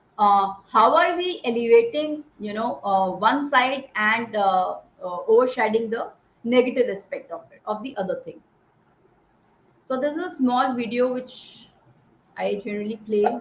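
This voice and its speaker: Her loudness swinging widely, a woman with an Indian accent speaks at a moderate pace and a fairly high pitch with lively intonation. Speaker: army veteran and speaker on positive psychology. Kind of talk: talk to an online audience.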